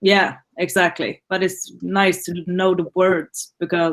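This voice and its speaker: With a Swedish accent, the speaker keeps a monotone, flat intonation in a dry, close sound with no echo. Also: woman. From Sweden, Gothenburg. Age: 20s. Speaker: student. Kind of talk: class introduction. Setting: video call.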